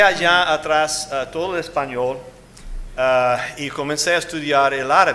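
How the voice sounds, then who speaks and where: Heard through noticeable background noise and audible room echo, a man talks at a fairly high pitch with fairly even intonation. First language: English (speaking Spanish). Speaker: associate pastor, former missionary. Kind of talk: sermon. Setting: church pulpit. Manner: halting, many fillers.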